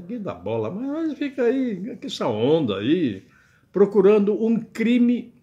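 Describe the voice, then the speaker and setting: A man speaks very slowly in a dark, mellow tone, his pitch swinging very widely. The background is quiet. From Brazil. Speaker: web radio commentator; political commentator. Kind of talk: political commentary monologue; casual vlog commentary. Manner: casual, chatty with frequent filler words. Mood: wry, joking. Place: home room. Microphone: webcam.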